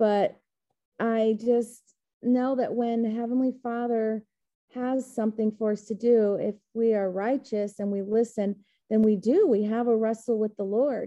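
A woman's fairly high, monotone, flat voice at a fairly slow pace. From Texas.

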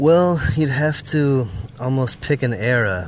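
Speaking at a very slow pace with an American accent, a man is heard with audible room echo. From US Midwest, Northwest Iowa. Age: 40s. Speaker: folk musician. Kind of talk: interview.

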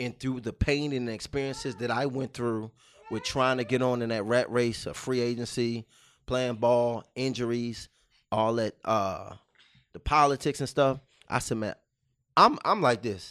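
Over a quiet background, a man with an unremarkable speaking voice talks at a moderate pace and medium pitch, his intonation fairly even. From Baltimore, Maryland. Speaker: teacher. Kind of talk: casual interview.

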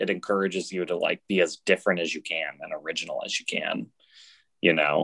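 Delivered at a fairly quick pace with an American accent, the speech has a dry, close sound with no echo. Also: man. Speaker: stand-up comedian. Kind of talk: casual interview. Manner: flat, unexcited-sounding.

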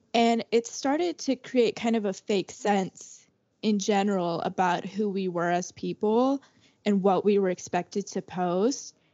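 In an unremarkable speaking voice, a woman talks at a fairly slow pace with medium pitch and ordinary pitch variation. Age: 20s. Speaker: student peer ambassador podcast host. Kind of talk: casual chat.

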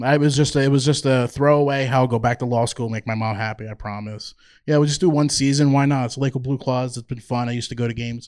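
The speaker talks at a very fast pace with a slight New Jersey accent. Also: man, medium pitch for a man, fairly even intonation, hardly any pauses, very clean recording, silent background. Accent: slight New Jersey accent on certain words. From New Jersey (Toms River). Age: 40s. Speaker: minor league baseball team executive. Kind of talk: live interview. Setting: stage with audience.

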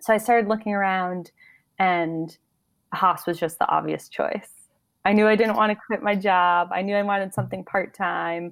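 With an American accent and a normal speaking voice, a woman talks at a medium pitch and moderate pace with fairly even intonation, in a very clean recording with a silent background. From upstate New York, Albany area. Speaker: MBA student and teaching assistant. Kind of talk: casual interview.

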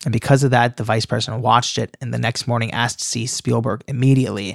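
A man talking at a very fast pace, with vocal fry. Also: dry, close sound with no echo, very clean recording, silent background. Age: 20s. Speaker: author. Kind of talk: interview. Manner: animated.

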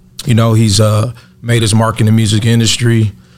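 Noticeable background noise sits under this man's voice. He speaks at a medium pitch with flat, monotone intonation. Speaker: podcast co-host; cannabis company owner. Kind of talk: casual, slangy.

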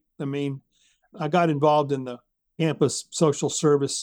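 A man with an American accent talks in an ordinary speaking voice at a moderate pace. His pitch is fairly high, and the recording is very clean with a silent background. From US South, Jackson, Mississippi. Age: 60s. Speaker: civic organizer and author. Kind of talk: interview conversation.

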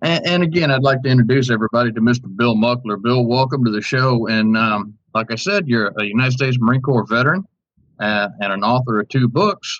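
A medium-pitched man with an American accent, an unremarkable speaking voice, a fairly quick pace and ordinary pitch variation. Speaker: podcast host. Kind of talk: political talk show, opinionated commentary.

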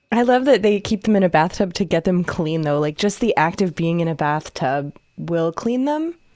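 A woman with an ordinary speaking voice and fairly low pitch talks at a moderate pace, her intonation lively and her speech with hardly any pauses. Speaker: podcast co-host. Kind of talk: casual chat. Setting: recorded on camera at a computer. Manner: laughs often, easygoing.

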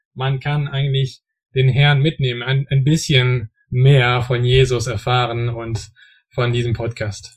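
A man's somewhat breathy, monotone voice with flat intonation, at a very slow pace. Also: medium pitch for a man. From French-speaking region. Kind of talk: casual Bible discussion. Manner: halting, many fillers.

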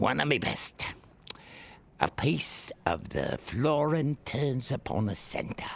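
A man's put-on character voice, medium in pitch, very slow, with very wide pitch swings. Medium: audio drama. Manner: gruff, businesslike.

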